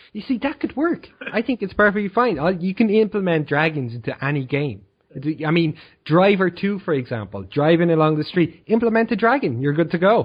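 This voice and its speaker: A man's high voice with very wide pitch swings, in an Irish accent, at a fairly quick pace. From Ireland. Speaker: podcast co-host. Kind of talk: casual chat.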